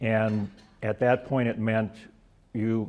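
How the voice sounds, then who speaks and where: Dark, mellow tone from a man with a fairly low pitch, monotone, flat intonation and an American accent. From USA. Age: 70s. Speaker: author and retired teacher. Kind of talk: talk to a club audience. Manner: halting, many fillers.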